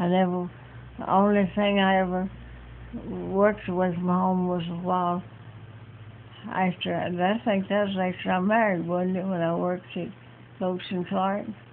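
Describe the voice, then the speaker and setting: A woman speaks at a moderate pace in a flat monotone. She leaves long, frequent pauses. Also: medium pitch for a woman. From Georgia. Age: 80s+. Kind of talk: interview answer.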